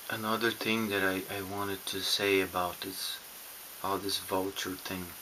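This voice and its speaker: In a non-native accent, a man talks at a moderate pace in a fairly low, flat monotone with a bright, sharp tone. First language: not English. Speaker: YouTuber on narcissistic abuse recovery. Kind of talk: personal vlog monologue. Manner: halting, many restarts and fillers.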